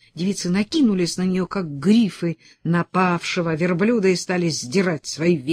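A natural reading voice carries this recording.

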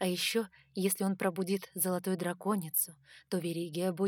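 The clip features an unforced reading voice.

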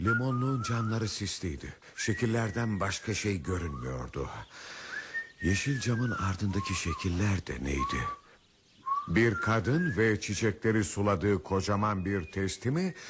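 Using a put-on character voice, a man speaks at a fairly slow pace with a husky, rough edge and lively intonation. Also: fairly low pitch for a man, fairly bright tone.

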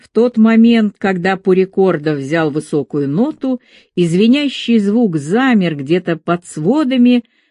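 Lively intonation fills this natural reading voice.

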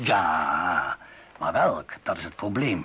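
A man puts on a character voice, low in pitch with a husky, rough edge and a bright, sharp tone, speaking slowly with lively intonation.

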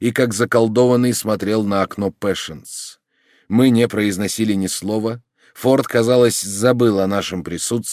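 A quiet background behind plain reading aloud

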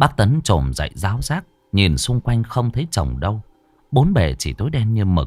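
Unforced voice for reading

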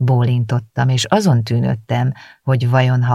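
Just plain reading aloud

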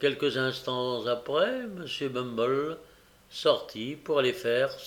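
A plain reading-aloud delivery.

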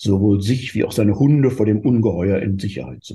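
The pitch shifts by ordinary amounts. Someone is reading aloud in a natural voice.

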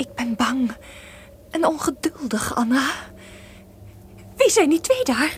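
Using a put-on character voice, a woman speaks slowly at a high pitch with big pitch swings over faint background noise.

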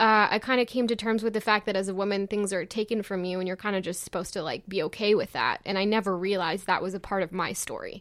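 On a very clean recording with a silent background, a woman speaks at a very fast pace with hardly any pauses. Her medium-pitched voice keeps fairly even intonation. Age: 20s. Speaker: slam poet. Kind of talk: interview chat with poetry performance.

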